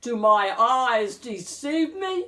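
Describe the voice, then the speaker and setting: A woman performs a put-on character voice at a high pitch. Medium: read story.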